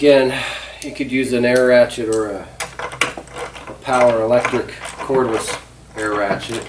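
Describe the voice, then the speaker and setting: Noticeable noise hums in the background. The talking proceeds at a moderate speed, broken by long, frequent pauses. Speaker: DIY hobbyist filming an assembly. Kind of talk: casual assembly tutorial. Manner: mumbling, talking to himself.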